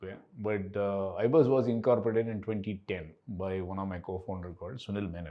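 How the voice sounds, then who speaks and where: A normal speaking voice from a man, fairly low in pitch, with ordinary pitch variation and a moderate pace. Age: 60s. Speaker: company co-founder and CEO. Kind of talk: podcast interview.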